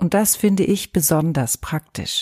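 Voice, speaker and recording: A woman speaks at a very slow pace in a somewhat breathy voice with a dark, mellow tone and a soothing, calm tone, recorded with a dry, close sound and no echo. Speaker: yoga teacher. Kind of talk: guided meditation. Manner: slow, soothing, calm; soft-spoken, gentle, with long pauses.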